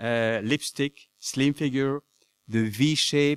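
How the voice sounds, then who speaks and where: A man speaks in a French accent with ordinary pitch variation. The sound is dry and close with no echo, on a very clean recording with a silent background. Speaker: anthropology professor. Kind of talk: conference talk. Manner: halting.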